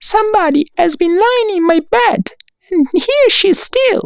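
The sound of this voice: At a moderate pace, an extremely high pitch marks this put-on character voice.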